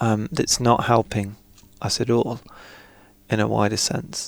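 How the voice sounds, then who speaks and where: A man is speaking at medium pitch. He talks at a fairly slow pace. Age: 30s. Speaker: podcast host. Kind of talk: interview conversation. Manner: reflective, with fillers and hesitations.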